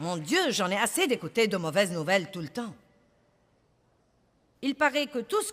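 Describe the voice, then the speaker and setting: A woman's voice with very wide pitch swings. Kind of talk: sermon / preaching to an audience.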